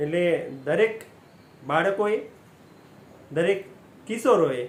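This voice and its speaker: A man speaks with lively intonation. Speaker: motivational speaker. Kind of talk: motivational talk.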